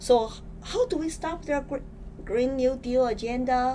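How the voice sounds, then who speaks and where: A woman with a Chinese accent and a high pitch speaks at a moderate pace over noticeable background noise. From China. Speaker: political candidate. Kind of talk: interview. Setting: studio.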